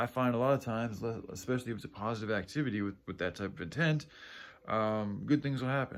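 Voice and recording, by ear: This man talks at a fast pace. His pitch is fairly low, with ordinary pitch variation.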